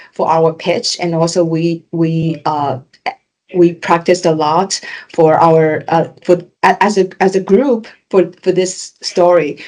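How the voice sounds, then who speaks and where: Speaking at a fairly slow pace with a non-native accent, a woman uses a fairly low voice and fairly even intonation. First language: not English. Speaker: graduate finance student. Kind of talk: casual interview chat. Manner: halting, many repetitions and fillers.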